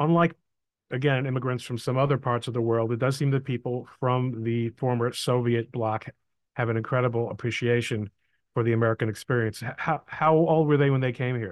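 At a fairly quick pace, a man speaks in an ordinary speaking voice at medium pitch with fairly even intonation. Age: 60s. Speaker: podcast host and lawyer. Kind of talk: interview conversation.

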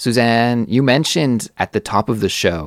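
A man at a fairly slow pace, in a very clean recording with a silent background. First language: native English speaker. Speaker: podcast host, English teacher. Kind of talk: casual educational chat. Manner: clear, easy-to-understand speech.

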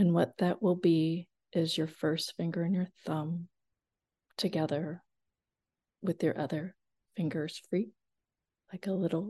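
A woman with a fairly low pitch and a dark, mellow, somewhat breathy tone, monotone and flat in intonation, at a very slow pace with long, frequent pauses, in a dry, close sound with no echo. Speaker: hypnotherapist. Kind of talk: guided hypnosis induction, countdown and affirmations. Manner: slow, soothing, hypnotic cadence.

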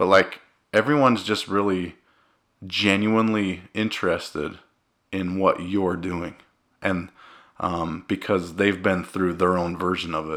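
Speaking at a fairly slow pace with long, frequent pauses, a man with an American accent has a very deep, low pitch. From Cedar City, Utah. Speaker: food blogger and podcast host. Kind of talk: casual chat. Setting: home basement studio.

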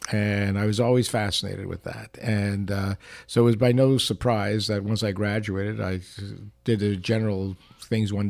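A man's fairly low, monotone voice with flat intonation at a moderate pace, with a Canadian accent. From Montreal, Canada. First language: not English (learned English around age six). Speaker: industrial psychologist and business consultant. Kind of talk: casual interview chat.

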